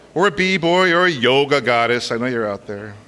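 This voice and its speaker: A man's voice moves in very wide pitch swings. Noticeable background noise sits behind him. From Los Angeles, California. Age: 40s. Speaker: university lecturer. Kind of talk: personal talk before a live audience. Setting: stage with audience. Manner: casual and animated.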